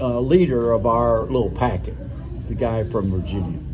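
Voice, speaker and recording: A man speaks with music in the background. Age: 80s+. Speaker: retired automotive engineer. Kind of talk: interview answer. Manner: hesitant, conversational.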